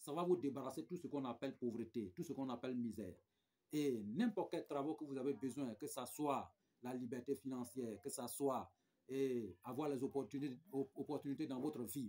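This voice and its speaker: Moving at a moderate pace, this voice carries a dark, mellow tone. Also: man. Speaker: spiritual guide. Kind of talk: spiritual advice talk with promotion. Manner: soft-spoken.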